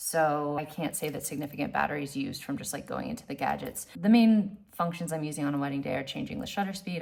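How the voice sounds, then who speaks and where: A woman speaks at a very deep, low pitch. Vocal fry runs through her voice. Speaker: wedding photographer. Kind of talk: casual tutorial vlog. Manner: fast; halting, repeats words.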